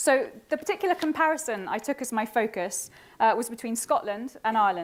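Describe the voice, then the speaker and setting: A woman talks at a fairly quick pace. Her fairly high voice swings very widely in pitch. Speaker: academic researcher. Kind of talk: conference presentation. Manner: fast.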